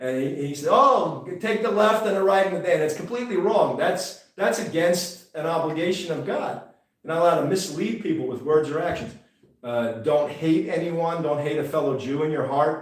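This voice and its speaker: The voice has ordinary pitch variation, heard with audible room echo. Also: man, high pitch for a man, moderate pace. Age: 60s. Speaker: rabbi and online show host. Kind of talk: religious teaching livestream. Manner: casual, halting with fillers.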